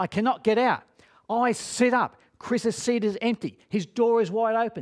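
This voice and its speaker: A man speaks with an extremely high pitch. His pace is fairly slow against a quiet background. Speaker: speaker. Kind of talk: dramatic storytelling talk. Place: studio.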